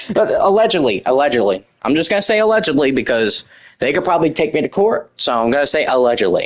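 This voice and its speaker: A man with an American accent and vocal fry, very fast in pace, with very wide pitch swings and very even loudness. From United States. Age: young. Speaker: gaming youtuber. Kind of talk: rant.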